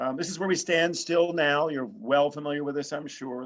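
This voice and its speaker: A man speaks at a very fast pace in an American accent. His pitch varies in an ordinary way. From New York. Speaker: political science professor and university administrator. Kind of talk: lecture. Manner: hesitant, many filler sounds.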